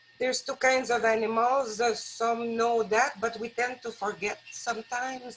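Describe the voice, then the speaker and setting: At a moderate pace, a woman with a fairly high pitch talks in a French-Canadian accent. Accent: foreign accent (French-Canadian). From rural Quebec, Canada. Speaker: wildlife rehabilitator, guest speaker. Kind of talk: talk at a worship service. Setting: live-streamed church service. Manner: hesitant, many fillers.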